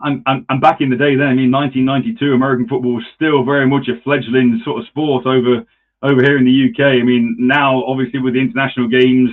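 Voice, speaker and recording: A man speaks with an East Midlands accent at a medium pitch. He talks very fast, with hardly any pauses. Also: fairly even intonation. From England, Nottingham. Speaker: podcast host. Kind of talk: casual chat.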